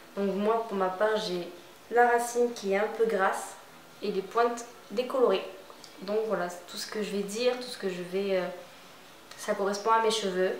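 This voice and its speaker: Amid noticeable background noise and audible room echo, a woman talks at a moderate pace and medium pitch with fairly even intonation, big swings in loudness and long, frequent pauses. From southwestern France, Bordeaux area. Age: 20s. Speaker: hairdresser, beauty vlogger. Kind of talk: product tutorial. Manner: halting.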